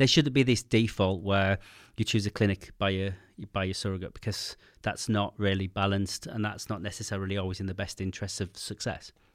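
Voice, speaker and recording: This very clean recording has a silent background, and a man with a British accent talks at a fairly quick pace. His pitch is fairly low and his intonation fairly even. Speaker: podcast host. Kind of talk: interview. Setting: studio. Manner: fast.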